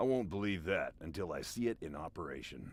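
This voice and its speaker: In a put-on character voice, a man talks fairly quickly, raspy and fairly low in pitch. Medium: video game. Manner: dry, deadpan.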